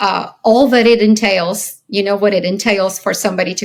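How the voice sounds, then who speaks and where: A woman with a normal speaking voice talks at a medium pitch. Her pace is moderate. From Soviet Ukraine, then US childhood. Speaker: company founder and CEO. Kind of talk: interview.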